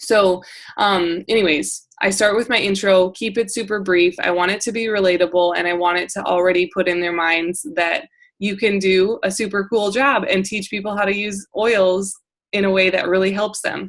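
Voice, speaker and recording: At a moderate pace, a woman talks with a medium pitch and fairly even intonation. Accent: northern US. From South Dakota, US Midwest. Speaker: essential oils sales coach. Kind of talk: training call. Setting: group call. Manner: casual, filler-heavy.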